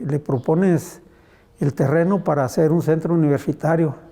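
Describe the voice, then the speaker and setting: A man talks in a fairly high-pitched voice. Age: 70s. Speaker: artisan and former politician. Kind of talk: interview. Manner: casual, with frequent repetitions.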